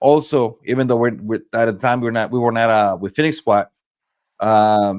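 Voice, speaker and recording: This man speaks with a medium pitch and fairly even intonation. His pace is moderate. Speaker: paintball player. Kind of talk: casual chat. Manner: loud.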